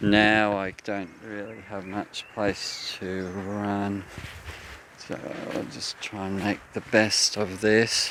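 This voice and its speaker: A man speaks very slowly with a fairly low pitch and flat, monotone intonation, leaving long, frequent pauses. Noticeable background noise runs underneath. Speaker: walking vlogger. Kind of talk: casual monologue. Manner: clear enunciation.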